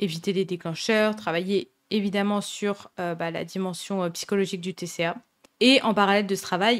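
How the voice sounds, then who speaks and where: A woman speaks at a medium pitch with fairly even intonation, in a very clean recording with a silent background. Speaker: podcast host, eating disorder recovery coach. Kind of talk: podcast monologue, advice. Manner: fast; casual with many hesitations.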